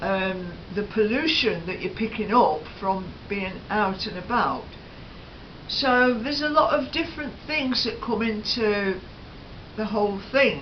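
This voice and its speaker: A woman with a British accent talks at a fairly slow pace, using lively intonation and a fairly high pitch. Noticeable background noise and audible room echo are present. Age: 70s. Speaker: lifestyle vlogger. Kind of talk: casual chat. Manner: hesitant, many fillers.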